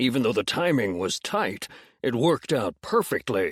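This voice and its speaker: In a very clean recording with a silent background, a man does a put-on character voice at medium pitch and a moderate pace. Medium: read story. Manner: smug, teasing.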